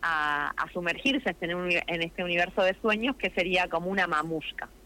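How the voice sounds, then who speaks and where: In a normal speaking voice, a woman talks at a moderate pace with a fairly low pitch. Her pitch varies in an ordinary way. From Argentina, Neuquén province. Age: 40s. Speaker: theatre actress. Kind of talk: radio interview.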